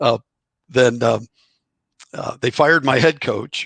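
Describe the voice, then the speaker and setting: A man's bright, sharp voice with a dry, close sound and no echo. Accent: American. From Illinois, Chicago suburbs. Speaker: former college baseball player and author. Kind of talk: interview. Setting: podcast. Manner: halting.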